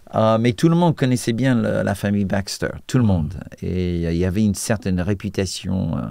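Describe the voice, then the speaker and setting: Lively in intonation and fairly quick in pace, a man with an American accent speaks at a fairly low pitch with a dark, mellow tone. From US, Washington D.C. suburbs. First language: English (speaking French). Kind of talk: testimony interview. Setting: TV studio. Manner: hesitant, many fillers.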